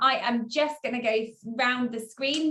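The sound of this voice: A woman speaks with a fairly bright tone and a fairly high pitch. Her pitch variation is ordinary, and the room echo is audible.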